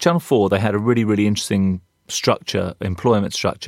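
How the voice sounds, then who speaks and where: In a London accent, a man with a fairly low pitch talks at a very fast pace. The recording is very clean with a silent background, and the sound is dry and close with no echo. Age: 50s. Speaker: advertising creative director and artist. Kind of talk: casual interview.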